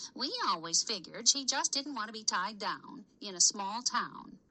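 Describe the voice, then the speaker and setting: At a fairly high pitch for a woman and a moderate pace, a female-sounding voice performs a put-on character voice. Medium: read story. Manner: prying, gossipy.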